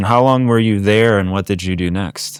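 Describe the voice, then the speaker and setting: In a very clean recording with a silent background, a man speaks at a moderate pace with a fairly low pitch and ordinary pitch variation. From France, moved to US at 7. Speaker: podcast host. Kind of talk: interview.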